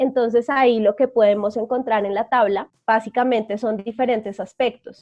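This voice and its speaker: A woman speaks at a moderate pace with hardly any pauses, her fairly high voice monotone and flat in intonation. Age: 20s. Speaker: psychologist and energy coach. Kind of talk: interview.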